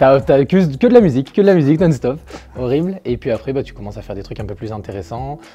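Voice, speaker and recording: Talking at a very fast pace, a man swings widely in pitch and makes big swings in loudness. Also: fairly high pitch for a man. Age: 20s. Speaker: YouTuber, former gendarme. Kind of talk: interview. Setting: indoor airsoft venue. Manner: halting, many fillers.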